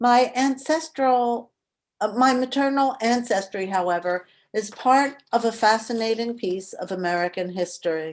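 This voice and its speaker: A woman with a Mid-Atlantic accent speaks at a moderate pace in a fairly high pitch, her intonation lively. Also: quiet background. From Philadelphia, US Mid-Atlantic. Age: 70s. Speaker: memoir author. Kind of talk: reading aloud. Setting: video call.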